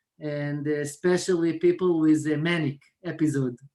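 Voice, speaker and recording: Someone speaks at a very slow pace with an Israeli accent. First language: Hebrew. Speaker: mental health worker. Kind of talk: video call discussion. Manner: halting.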